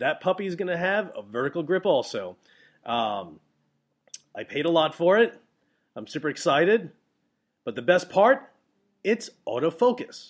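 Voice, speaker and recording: At a moderate pace, a high-voiced man speaks with very wide pitch swings, big swings in loudness and long, frequent pauses. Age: 40s. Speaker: wedding photographer and podcast host. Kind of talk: casual solo podcast monologue. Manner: animated, many fillers and repetitions.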